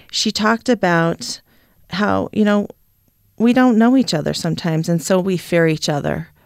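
A plain, everyday voice: a woman with a fairly low pitch and ordinary pitch variation at a moderate pace. The recording is very clean, with a silent background. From Idaho, US. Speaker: panelist. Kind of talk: panel discussion.

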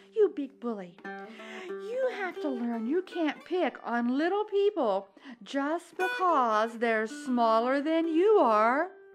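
A woman speaks slowly in a put-on character voice, high-pitched with big pitch swings. Faint music plays in the background.

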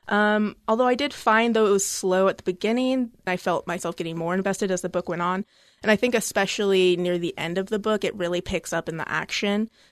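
With a normal speaking voice at medium pitch, a woman speaks at a fairly quick pace with hardly any pauses and ordinary pitch variation, the sound dry and close with no echo against a quiet background. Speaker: library staff discussing books. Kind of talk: book discussion chat. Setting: studio.

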